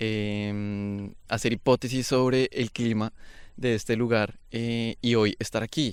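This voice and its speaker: In a very clean recording with a silent background, a man with a Bogotá accent speaks very slowly at a medium pitch, his intonation monotone and flat. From Bogotá, Colombia. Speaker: podcast host. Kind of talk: interview conversation. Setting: outdoors by a river.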